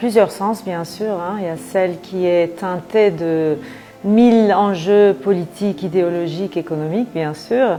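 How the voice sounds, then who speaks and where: A woman speaks at a very slow pace in a Turkish accent. Noticeable background noise runs underneath. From Turkey. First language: Turkish (speaking French). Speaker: writer. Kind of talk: interview.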